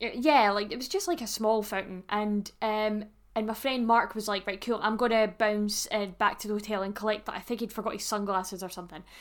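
Her voice fairly high, a woman talks at a fairly quick pace with fairly even intonation and hardly any pauses. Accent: Scottish. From Scotland. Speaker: podcast co-host. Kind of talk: casual chat.

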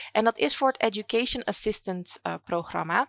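Ordinary pitch variation and a moderate pace from a woman with a fairly high pitch, a normal speaking voice. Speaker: educational consultant and podcast host. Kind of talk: interview answers.

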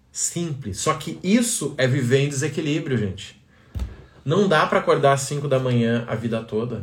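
Amid audible room echo, a man speaks in an animated, somewhat breathy tone with lively intonation at a moderate pace. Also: fairly high pitch for a man. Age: 30s. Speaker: business coach. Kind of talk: live stream talk.

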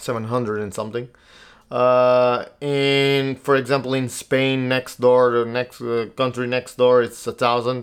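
Speaking in a Portuguese accent, a man talks at a fairly slow pace in a medium pitch with monotone, flat intonation. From Portugal. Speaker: podcast host. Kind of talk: solo monologue podcast. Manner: halting, many fillers.

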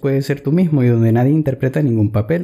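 A man talks fairly quickly at a medium pitch, his tone dark and mellow. His voice is somewhat breathy and his intonation lively. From Ecuador. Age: 20s. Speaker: blogger. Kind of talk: reading aloud.

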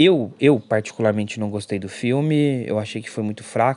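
There is a quiet background as a man speaks at a moderate pace. His tone is dark and mellow. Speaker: podcast host reviewing films and series. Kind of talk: casual solo review podcast. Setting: at mother's house in the countryside.

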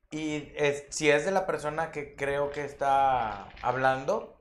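A man with a Mexican accent. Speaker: guest host, stage actor. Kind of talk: casual chat.

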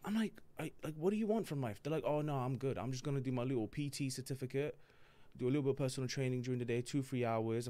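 Speaking at a very fast pace with an English accent, a man has a medium-pitched voice with a dark, mellow tone. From born in Palermo, Sicily, raised in UK (London). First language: Italian. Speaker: comedian. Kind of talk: casual chat. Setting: studio. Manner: animated.

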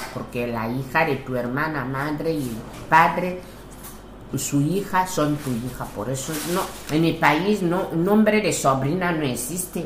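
In an Equatoguinean accent, a woman with a very deep, low pitch and ordinary pitch variation speaks at a very slow pace, with noticeable background noise and audible room echo. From Equatorial Guinea. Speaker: interviewee, widowed mother. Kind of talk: interview. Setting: at her home.

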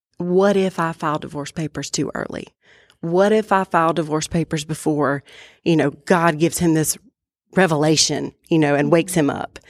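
A woman with an American accent in a normal speaking voice, fairly low in pitch with fairly even intonation, dry and close with no echo, very clean with a silent background. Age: 30s. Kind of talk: personal testimony in casual chat.

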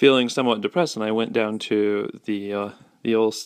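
Simply a natural reading voice

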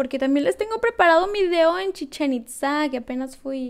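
A woman speaking at a fairly quick pace. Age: 20s. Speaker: ASMR YouTuber. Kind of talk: casual vlog talk to camera.

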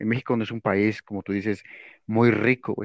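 A man with a normal speaking voice, medium pitch and a moderate pace, dry and close with no echo against a quiet background. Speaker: podcast co-host. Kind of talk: casual chat.

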